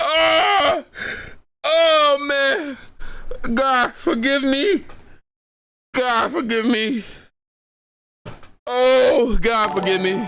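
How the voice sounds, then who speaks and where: Speaking at a very slow pace with long, frequent pauses, a man uses a raised, projected voice at an extremely high pitch, with a bright, sharp tone, ordinary pitch variation and very even loudness. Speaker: news reaction streamer. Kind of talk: live reaction stream. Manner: animated, laughing hard.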